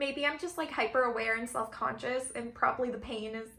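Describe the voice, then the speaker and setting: A woman speaks at a fairly quick pace in a high voice with a bright, sharp tone. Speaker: K-pop collector vlogger. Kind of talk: casual chat. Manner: casual, filler-heavy.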